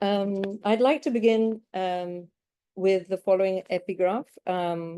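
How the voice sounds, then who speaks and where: With fairly even intonation, a woman speaks at a medium pitch in a dark, mellow tone. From United Kingdom. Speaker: academic researcher presenting. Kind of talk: academic conference presentation.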